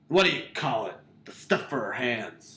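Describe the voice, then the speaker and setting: Using a raspy, put-on character voice at medium pitch, a man speaks at a moderate pace. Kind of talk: parody of clipped profane tough-guy dialogue. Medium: audio drama. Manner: blunt, profane, repetitive.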